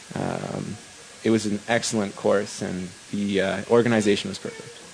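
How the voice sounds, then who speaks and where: Over noticeable background noise, a man talks in a flat, monotone way at a fairly low pitch. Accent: Canadian. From western Canada (Vancouver, British Columbia). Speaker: downhill skateboard racer. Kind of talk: post-race interview.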